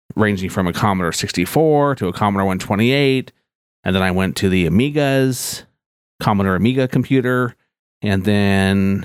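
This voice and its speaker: Over a silent background in a very clean recording, a man with an unremarkable speaking voice talks at a moderate pace, his fairly low pitch showing ordinary variation and his loudness staying very even. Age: 40s. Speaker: tech podcast host and IT manager. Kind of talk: scripted podcast intro monologue.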